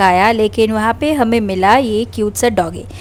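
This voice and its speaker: Noticeable background noise behind a woman speaking at a moderate pace, her pitch fairly high and her intonation fairly even. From Assam, Northeast India. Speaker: vlogger. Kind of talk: vlog narration. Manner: casual, chatty.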